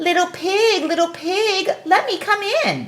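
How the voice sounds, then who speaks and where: Using a put-on character voice, a woman speaks squeakily at an extremely high pitch and fairly slow pace with ordinary pitch variation. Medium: read story. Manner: sly, sweet-voiced.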